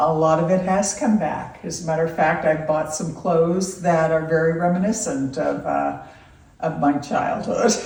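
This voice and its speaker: Over noticeable background noise and audible room echo, a woman with an American accent speaks at a fairly low pitch with ordinary pitch variation. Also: moderate pace. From California (Loomis). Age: 60s. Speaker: grandmother being interviewed. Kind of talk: casual interview. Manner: hesitant with fillers.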